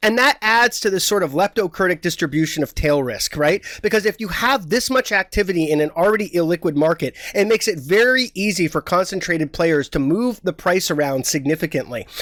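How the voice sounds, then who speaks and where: A man's high voice at a fairly quick pace with lively intonation, dry and close with no echo. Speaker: market analyst. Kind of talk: interview. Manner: fast.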